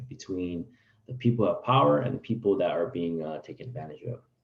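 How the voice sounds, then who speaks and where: Talking fairly quickly, a man uses an unremarkable speaking voice. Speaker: teacher. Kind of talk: online class lecture.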